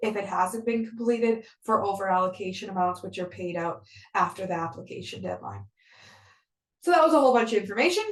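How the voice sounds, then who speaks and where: A woman talks at a fairly quick pace. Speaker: grant program administrator. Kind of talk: webinar presentation. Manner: fast.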